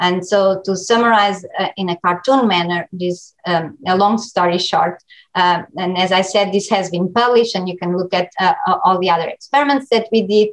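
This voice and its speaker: A woman speaks at a medium pitch with fairly even intonation. She hardly pauses at all. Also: moderate pace. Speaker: research scientist. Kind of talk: lecture. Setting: online seminar. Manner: halting.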